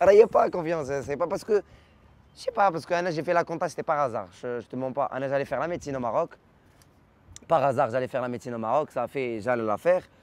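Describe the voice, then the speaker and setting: Very fast, animated speech with lively intonation and long, frequent pauses, in a Moroccan accent, with a dry, close sound and no echo. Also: man, fairly high pitch for a man. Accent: Casablanca Moroccan accent in French. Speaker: comedian. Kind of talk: interview.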